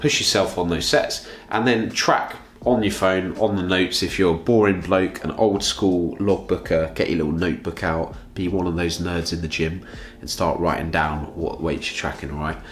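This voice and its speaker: With a British accent, a man speaks in a very deep, low pitch amid audible room echo and noticeable background noise. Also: ordinary pitch variation, moderate pace. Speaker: fitness coach. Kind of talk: tutorial.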